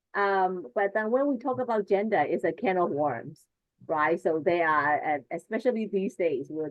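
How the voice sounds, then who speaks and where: Lively intonation from a woman with a Burmese accent, fairly low in pitch. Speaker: teacher trainer. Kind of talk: online workshop presentation.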